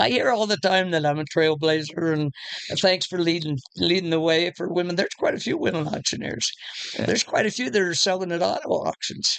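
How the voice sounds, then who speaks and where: Over noticeable background noise, a woman with an American accent talks at a fairly quick pace in a fairly low pitch with ordinary pitch variation. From Steamboat Springs, Colorado. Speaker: auctioneer. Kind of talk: interview answer.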